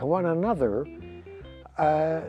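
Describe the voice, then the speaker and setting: A man speaks at a very slow pace in a fairly high voice. Music plays in the background. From Winnipeg, Canada. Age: 70s. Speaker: retired motorcycle racer. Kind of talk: interview answer.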